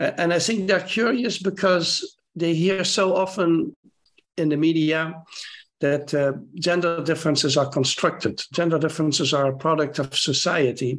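Speaking at a moderate pace with a Dutch accent, a man uses lively intonation and a high pitch. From Netherlands. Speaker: primatologist. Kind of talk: interview.

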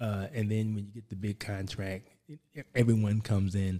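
Someone with an American accent speaks at a moderate pace in a dark, mellow tone. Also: man. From Philadelphia, US. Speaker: commercial real estate broker. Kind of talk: casual interview.

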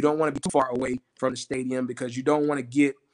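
Heard in a dry, close sound with no echo, a man with a Southern US accent speaks at a medium pitch in a monotone, flat intonation. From South Carolina, Orangeburg. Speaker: college football administrator. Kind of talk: casual interview.

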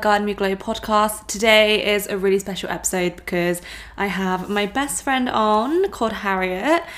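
Speaking with an English accent, a woman has a fairly high voice. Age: 20s. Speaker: podcast host, wellness coach. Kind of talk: casual chat.

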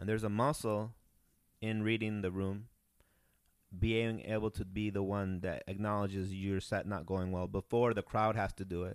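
Speaking in a Spanish accent, a man with a fairly low voice keeps a monotone, flat intonation at a moderate pace. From Peru. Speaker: comedian. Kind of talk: casual chat.

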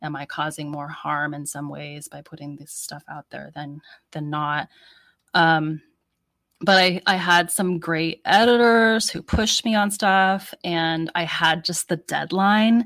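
A woman with an American accent has an ordinary speaking voice, fairly low in pitch and fairly slow. Her loudness swings widely, while her pitch varies in an ordinary way. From United States. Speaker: author. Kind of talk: interview. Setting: video call.

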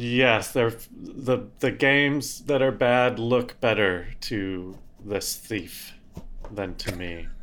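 Very slow and at medium pitch, a man with an American accent speaks with ordinary pitch variation amid audible room echo. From Colorado. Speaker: comedy podcast co-host. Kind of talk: casual chat.

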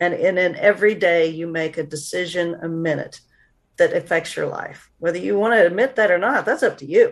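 A woman speaks in a plain, everyday voice with an American accent, fairly low-pitched, at a fairly quick pace, with ordinary pitch variation. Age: 50s. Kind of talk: interview.

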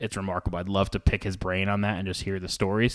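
A fairly low-pitched man with an American accent and monotone, flat intonation, on a very clean recording with a silent background. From Rhode Island, US. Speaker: college athletics communications director. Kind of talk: casual interview.

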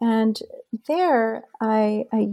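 Dark, mellow tones from a woman pitched fairly high. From Union City, New Jersey (born in Colombia, moved at age one). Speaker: associate professor and author. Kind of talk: interview about her book.

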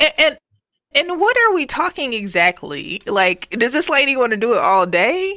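A woman's raised, projected voice, high-pitched and animated in tone, with very wide pitch swings at a moderate pace. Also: very even loudness. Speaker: podcast host. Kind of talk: casual banter podcast. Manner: animated, laughing.

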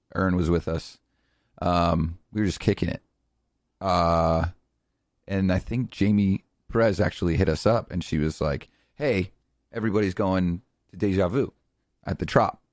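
In an animated tone, a man with a very deep, low voice speaks at a moderate pace with ordinary pitch variation and long, frequent pauses. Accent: American. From Connecticut. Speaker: podcast co-host and DJ. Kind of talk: casual chat, banter. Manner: animated, joking.

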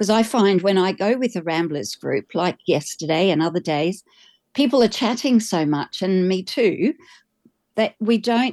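Against a quiet background, a woman with an Australian accent speaks at medium pitch and a moderate pace, in a dark, mellow tone with ordinary pitch variation and a dry, close sound with no echo. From Australia, Queensland. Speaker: pilgrim, energy healer. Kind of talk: interview.

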